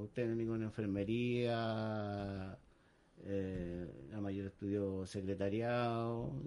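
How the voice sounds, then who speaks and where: A man with a Chilean accent, fairly low-pitched and dark and mellow in tone, with fairly even intonation at a very slow pace. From Chile, San Antonio. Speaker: tugboat deckhand. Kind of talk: radio interview.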